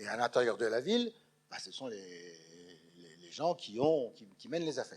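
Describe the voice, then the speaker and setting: With very wide pitch swings and big swings in loudness, a man at medium pitch talks at a moderate pace broken by long, frequent pauses. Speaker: lecturer, retired schoolteacher. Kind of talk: public lecture. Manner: animated.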